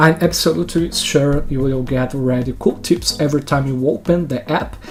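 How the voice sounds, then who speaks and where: The speaker has a Brazilian accent and a fairly slow pace. Noticeable background noise runs underneath. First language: Brazilian Portuguese. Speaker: software trainer. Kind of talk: tutorial. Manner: enthusiastic.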